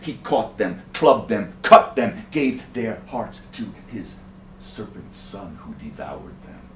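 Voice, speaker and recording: Very slowly and with audible room echo, a man with an American accent speaks in very wide pitch swings. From New York City (Bronx). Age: 60s. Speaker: storyteller. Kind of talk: storytelling.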